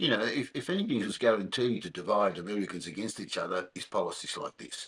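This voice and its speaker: Over noticeable background noise, a man with an Australian accent speaks at a very fast pace. His voice is fairly low, with ordinary pitch variation. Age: 70s. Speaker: podcast host. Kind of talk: casual interview. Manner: halting, repeats words.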